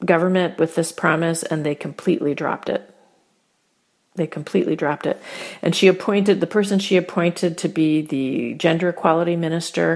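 On a very clean recording with a silent background, a woman with a normal speaking voice talks at a moderate pace, a fairly low pitch and fairly even intonation. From US small town. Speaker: consultant. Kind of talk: interview.

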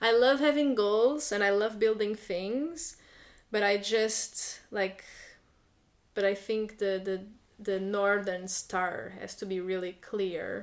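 A very slow woman's voice in a Portuguese accent, medium in pitch with ordinary pitch variation. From Portugal. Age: 30s. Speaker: illustrator and workshop facilitator. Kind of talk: casual interview chat.

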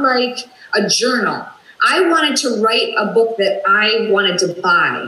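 A woman with a Minnesotan accent, a high pitch, ordinary pitch variation and a fairly slow pace, over noticeable background noise. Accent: Minnesota. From US Midwest, Minnesota. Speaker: talk show guest, author and former radio personality. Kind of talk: casual interview. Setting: video call.

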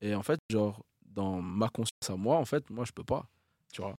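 Recorded very cleanly with a silent background and a dry, close sound with no echo, a man talks at a fairly quick pace in a fairly low pitch. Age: 20s. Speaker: rapper. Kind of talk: casual chat.

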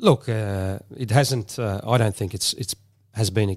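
With an Australian accent, a man talks at a fairly slow pace in a fairly low pitch, his intonation fairly even, on a very clean recording with a silent background. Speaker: former footballer and pundit. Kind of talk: casual panel chat. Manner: halting, many fillers.

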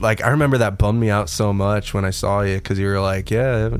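A man talks at a very fast pace with a fairly low pitch and ordinary pitch variation. Noticeable background noise runs underneath. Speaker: musician. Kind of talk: casual chat. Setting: studio.

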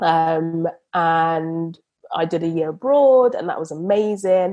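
The voice carries a British accent. Its tone is dark and mellow, with ordinary pitch variation. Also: woman. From England (came from Uganda aged four). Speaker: property investor and surveyor. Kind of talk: casual interview.

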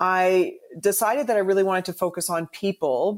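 With a Canadian accent, a woman uses a normal speaking voice at a fairly low pitch with ordinary pitch variation. The sound is dry and close, with no echo. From Canada, Toronto. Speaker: bartender and cocktail ambassador. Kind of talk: casual chat. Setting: video call.

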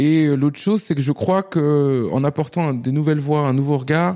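Over a quiet background, a man with fairly high pitch and a dark, mellow tone talks at a moderate pace. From France, Nantes. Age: 30s. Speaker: novelist. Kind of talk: interview. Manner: animated; halting.

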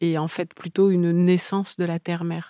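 A woman speaks with a fairly low pitch. The recording is very clean with a silent background and a dry, close sound free of echo. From Paris region, France (Yvelines). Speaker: novelist. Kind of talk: interview. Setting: literary festival. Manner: halting.

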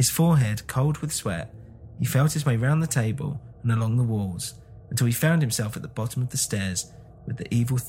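A natural reading voice whose pitch varies in an ordinary way

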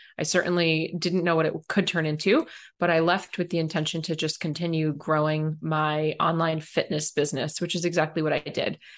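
A woman talks fairly quickly with hardly any pauses in a flat, monotone intonation, set against a quiet background. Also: fairly low pitch for a woman. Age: 30s. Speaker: business mentor. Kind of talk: interview.

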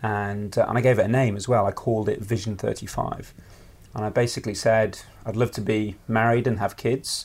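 A man talks at a fairly quick pace in a medium pitch, his intonation flat and monotone. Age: 30s. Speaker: presentation coach and property investor. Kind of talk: casual interview at home. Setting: at his home.

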